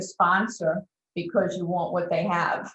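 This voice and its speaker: A woman speaks with fairly even intonation. Hers is an unremarkable speaking voice. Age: 60s. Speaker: transformational coach. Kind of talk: interview.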